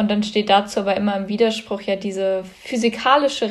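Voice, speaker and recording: A woman with a normal speaking voice talks at medium pitch with fairly even intonation. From Germany, Cologne. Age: young. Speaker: climate activist. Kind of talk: interview.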